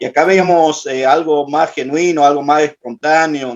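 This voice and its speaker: A man's fairly high voice moves at a moderate pace. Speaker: participant in prayer class. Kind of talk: group report in online class. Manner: halting, many fillers.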